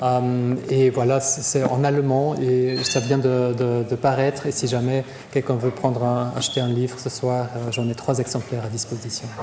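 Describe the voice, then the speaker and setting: Moderate pace, hardly any pauses and monotone, flat intonation in a German accent, with audible room echo and noticeable background noise. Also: man, medium pitch for a man. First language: German (speaking French). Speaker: psychiatrist. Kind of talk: lecture Q&A. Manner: halting, many repetitions.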